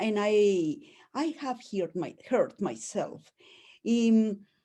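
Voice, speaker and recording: A woman speaks in a fairly high, somewhat breathy voice with a dark, mellow tone. Her pitch swings very widely. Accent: strong Mexican. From Mexico. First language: Spanish. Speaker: webinar participant. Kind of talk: casual chat. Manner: halting.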